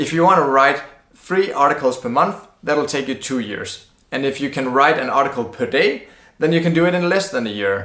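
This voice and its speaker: A man with a non-native accent and a bright, sharp tone, fairly high in pitch, at a moderate pace with ordinary pitch variation and audible room echo. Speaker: blogging educator. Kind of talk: tutorial. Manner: casual, conversational.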